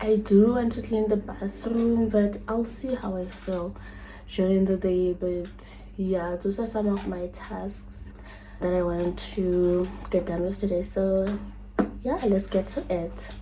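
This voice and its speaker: Words come very slowly from a woman. The room adds an audible echo. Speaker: lifestyle vlogger. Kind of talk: casual vlog narration. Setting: at home.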